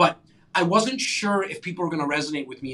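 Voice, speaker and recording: A man talks at a fairly high pitch with noticeable background noise present. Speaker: real estate agent and podcast host. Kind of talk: interview. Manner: energetic.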